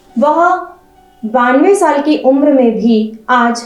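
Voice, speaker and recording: Over background music, a woman speaks at a high pitch. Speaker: news channel editor and interviewer. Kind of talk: interview introduction to camera.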